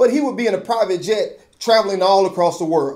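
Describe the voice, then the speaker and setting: Against a quiet background, a man talks at a fairly quick pace. His pitch is high. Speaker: video commentator / host of his own channel. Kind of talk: opinion commentary to camera. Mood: skeptical, mildly sarcastic.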